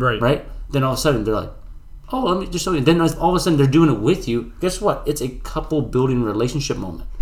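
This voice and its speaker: A man speaks at a very fast pace with lively intonation, somewhat breathy. Room echo is audible. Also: fairly high pitch for a man. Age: 20s. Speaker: fitness podcast co-host. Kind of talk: casual chat.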